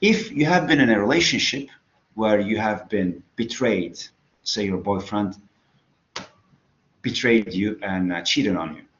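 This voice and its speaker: Room echo can be heard around the voice. A man speaks fairly slowly. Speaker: psychology lecturer. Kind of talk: lecture. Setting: online class.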